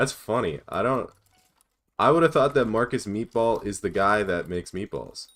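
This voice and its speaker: In a very clean recording with a silent background, a man with an American accent and an unremarkable speaking voice talks at a moderate pace and medium pitch, with lively intonation. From United States. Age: 20s. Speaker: gaming streamer. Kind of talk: live stream chat while gaming. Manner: casual, reading chat questions aloud.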